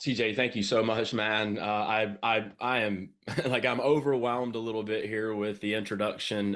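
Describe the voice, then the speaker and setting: A man with a Southern US accent speaks in an energetic tone at a medium pitch. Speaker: business coach. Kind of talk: sales training presentation. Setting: home studio, online livestream.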